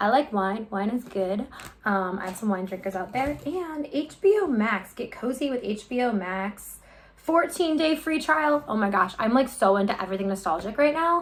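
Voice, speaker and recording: Fairly high-pitched woman with a slight Midwestern accent, very wide pitch swings, a moderate pace and noticeable background noise. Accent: Midwest accent, slight. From US Midwest, Chicago. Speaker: YouTuber, unboxing vlogger. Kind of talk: casual unboxing vlog. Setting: home kitchen. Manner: chatty, filler-heavy ('um').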